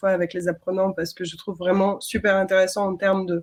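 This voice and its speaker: A woman is talking. Her voice is pitched in the middle of the range. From outside France. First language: not French (speaking French). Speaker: design system trainer. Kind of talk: webinar panel discussion.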